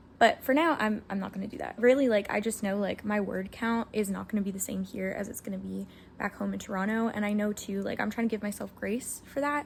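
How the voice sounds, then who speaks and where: A somewhat breathy woman talks at a very fast pace. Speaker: aspiring novelist vlogger. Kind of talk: casual vlog talk to camera. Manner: energetic.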